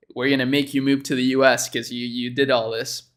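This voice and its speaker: With a Spanish accent, a man speaks at a medium pitch. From Chile. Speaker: YouTuber reacting to a dropshipping video. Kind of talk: casual reaction commentary. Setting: livestream. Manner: casual, filler-heavy (um, like).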